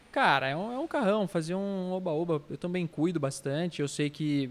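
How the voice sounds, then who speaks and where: In a very clean recording with a silent background, a man with an unremarkable speaking voice and fairly high pitch talks at a moderate pace with ordinary pitch variation. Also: hardly any pauses. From Brazil, São Paulo state (Itapira, Campinas). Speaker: artist. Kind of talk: casual chat.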